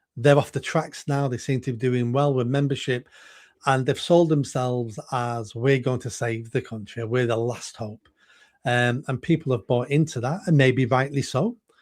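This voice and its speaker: A man with a Mancunian accent, medium pitch, fairly even intonation and a moderate pace, on a very clean recording against a silent background. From northern England, Manchester. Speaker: political candidate. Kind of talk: interview. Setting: live video stream.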